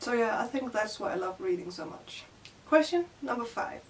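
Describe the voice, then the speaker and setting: A woman speaks at a fairly quick pace in a Danish accent, her pitch high. Noticeable background noise runs underneath. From Denmark. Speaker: book youtuber. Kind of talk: casual vlog. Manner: casual, filler-heavy.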